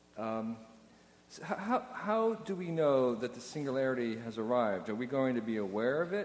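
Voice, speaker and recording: With noticeable background noise behind him, a man speaks at a moderate pace and medium pitch with lively intonation. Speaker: moderator reading audience questions. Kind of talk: Q&A moderating. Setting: stage with audience.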